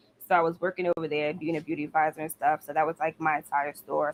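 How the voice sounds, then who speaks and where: A woman with an American accent at a very deep, low pitch, very fast pace, and fairly even intonation, dry and close with no echo, with noticeable background noise. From New York. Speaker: nail technician. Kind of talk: casual chat.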